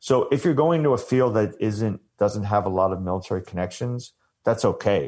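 Against a quiet background, a man with an American accent and an unremarkable speaking voice talks at a moderate pace and medium pitch. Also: ordinary pitch variation. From US Northeast, Long Island. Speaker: army veteran and sports nonprofit director. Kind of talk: interview.

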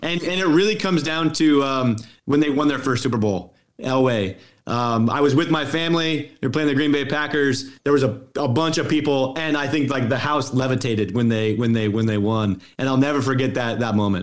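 With an American accent, a man with an unremarkable speaking voice talks at a medium pitch and a fairly quick pace, his pitch varying in an ordinary way. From Colorado, US. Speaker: sports analytics executive and author. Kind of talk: interview.

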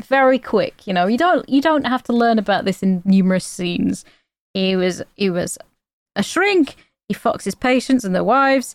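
This woman has a normal speaking voice, pitched fairly high, with lively intonation at a moderate pace. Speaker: podcast co-host. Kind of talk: casual chat.

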